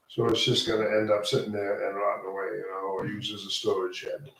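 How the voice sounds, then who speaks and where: The room echo is audible here. A man talks at a moderate pace. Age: 60s. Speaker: resident applicant. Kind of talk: public meeting testimony.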